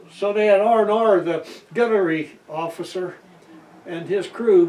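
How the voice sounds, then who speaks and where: A man speaks very slowly with fairly even intonation amid noticeable background noise. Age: 80s+. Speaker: World War II navy veteran. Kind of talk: interview answer. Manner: storytelling, hesitant.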